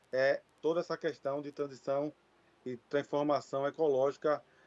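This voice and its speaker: This man talks at a fairly high pitch with fairly even intonation. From Brazil, Recife (Pernambuco), Northeast. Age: 40s. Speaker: regional government consortium representative. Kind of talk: conference panel talk. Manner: halting, with fillers.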